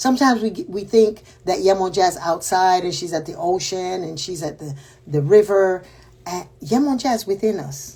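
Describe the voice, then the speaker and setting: Speaking at a moderate pace with a Panamanian accent, the woman has a medium pitch, lively intonation and big swings in loudness. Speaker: spiritual teacher. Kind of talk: spiritual talk. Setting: livestream.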